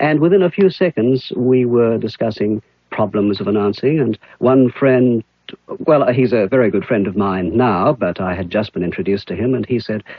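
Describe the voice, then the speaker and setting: A man's voice sits at a medium pitch as he talks at a moderate pace. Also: lively intonation. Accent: Australian. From Australia (Adelaide; born in New Zealand). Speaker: radio announcer. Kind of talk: interview.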